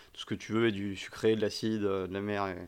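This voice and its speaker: A man speaks with monotone, flat intonation at a fairly low pitch and a moderate pace. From France, Paris. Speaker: podcast host. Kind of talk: casual chat.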